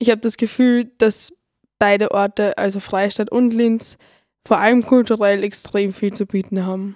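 With a fairly high pitch, a woman speaks in a monotone, flat intonation. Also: moderate pace. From Lower Austria, Neulengbach. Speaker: radio volunteer. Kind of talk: scripted personal narration.

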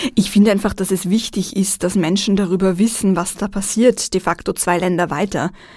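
In a normal speaking voice, a woman at medium pitch keeps a moderate pace with fairly even intonation and hardly any pauses. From Vienna, Austria. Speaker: journalist and TV presenter. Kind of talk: radio interview.

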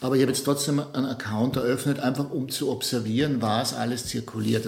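This man rattles along very fast, his intonation staying fairly even. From Austria, Innsbruck. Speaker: multimedia artist. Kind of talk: interview. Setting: artist's studio. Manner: halting, many repetitions and fillers.

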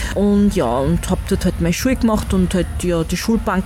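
Noticeable background noise sits behind a woman with a medium pitch. She speaks at a moderate pace with ordinary pitch variation. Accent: Austrian. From Styria, Austria. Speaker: workshop leader, musician. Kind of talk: interview. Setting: outdoor festival.

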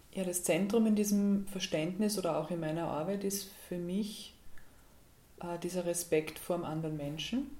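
A dark, mellow tone moves at a moderate pace with ordinary pitch variation, and the room echo is audible. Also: woman, fairly low pitch for a woman. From Austria, Graz (Styria). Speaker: dance and movement therapist. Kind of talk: radio interview. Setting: radio studio.

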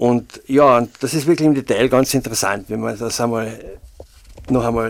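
Some vocal fry colors this man's medium-pitched voice, which keeps fairly even intonation at a moderate pace. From Austria, Carinthia (St. Veit area). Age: 60s. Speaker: freelance local journalist. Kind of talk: casual interview. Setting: studio. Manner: hesitant, many filler sounds.

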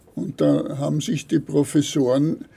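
Speaking at a very slow pace, a man has a fairly high pitch and a dark, mellow tone. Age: 70s. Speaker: retired paper ruling craftsman. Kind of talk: interview. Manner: halting.

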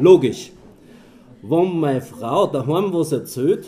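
Vocal fry marks this man's dark, mellow tone. He speaks very slowly with lively intonation. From Austria, Mühlviertel. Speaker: dialect poet and moderator. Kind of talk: public reading and moderation.

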